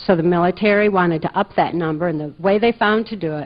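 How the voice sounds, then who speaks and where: A woman with an American accent talks at a fairly quick pace. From US Midwest, Muskegon, Michigan. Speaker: conference speaker. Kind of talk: lecture.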